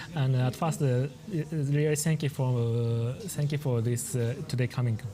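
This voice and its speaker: Speaking with a Japanese accent, a man keeps a medium pitch, a moderate pace, fairly even intonation and very even loudness. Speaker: painter and manga artist. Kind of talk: talk with interpreter. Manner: halting.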